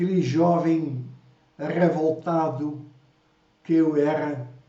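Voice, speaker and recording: In a room with audible echo, a man with a fairly high pitch speaks very slowly in a flat monotone. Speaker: preacher. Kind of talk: sermon. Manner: halting.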